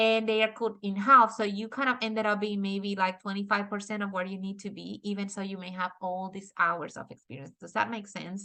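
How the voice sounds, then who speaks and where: This is a woman speaking with a Dominican accent. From Dominican Republic. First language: Spanish. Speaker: architect and author. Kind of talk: webinar presentation. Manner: halting with many fillers.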